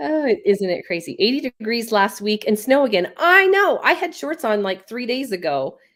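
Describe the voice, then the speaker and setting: This woman has a fairly high pitch and very wide pitch swings, talking at a moderate pace with hardly any pauses. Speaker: livestream host of a stitching channel. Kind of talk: casual chat on livestream, reading viewer comments.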